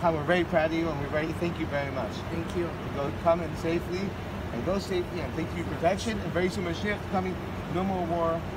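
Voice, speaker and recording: Loud background noise surrounds a man who talks at a fairly quick pace with ordinary pitch variation. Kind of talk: casual blessing and encouragement. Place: street. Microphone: phone near.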